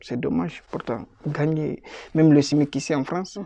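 A man speaks at a fairly slow pace in a dark, mellow tone, the sound dry with no echo and the background quiet. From Guinea. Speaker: refugee, student; interviewee. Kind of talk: testimony. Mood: calm, serious recounting hardship. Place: office. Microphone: phone near.

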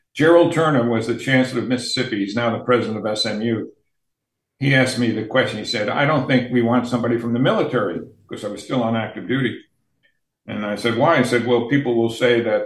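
A man at a very fast pace, fairly even intonation, audible room echo, and a quiet background. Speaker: remote podcast guest. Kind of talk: interview answer, storytelling. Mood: amused, recounting. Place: home room. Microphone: video call.

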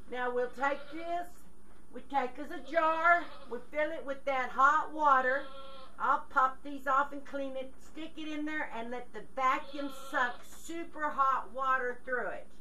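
Over light background noise, a woman uses a raised, projected voice at a fairly slow pace with fairly even intonation. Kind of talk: tutorial. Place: farm machine. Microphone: camera far.

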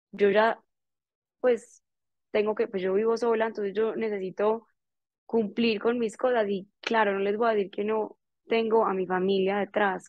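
Over a quiet background, a woman speaks in a flat monotone. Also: dry sound with no echo. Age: 20s. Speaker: entrepreneur; guest. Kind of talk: motivational talk. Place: home room. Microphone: earbuds.

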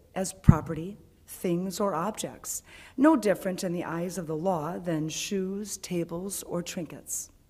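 Delivered at a fairly slow pace, the speech has fairly even intonation but big swings in loudness. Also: woman. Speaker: worship leader; speaker. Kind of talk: reading aloud. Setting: church. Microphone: podium.

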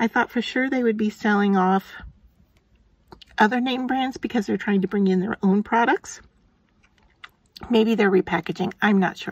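A woman speaks at a medium pitch with a slightly husky edge, fairly even intonation, and long, frequent pauses. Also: moderate pace.

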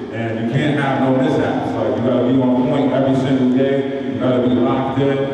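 Speaking at a fairly quick pace with hardly any pauses, a man is heard with strong room echo and light background noise. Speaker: basketball coach presenter. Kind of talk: clinic presentation talk. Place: hall.

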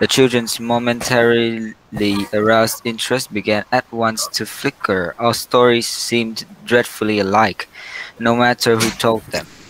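A man speaks at a medium pitch and a moderate pace. His intonation is flat and monotone, with noticeable background noise behind him. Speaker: student presenter. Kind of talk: reading aloud a bedtime story in a class presentation. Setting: classroom presentation.

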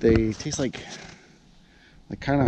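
Over noticeable background noise, a man speaks at a fairly slow pace in a dry recording with no echo. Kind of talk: casual outdoor tutorial. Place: forest. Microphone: phone near.

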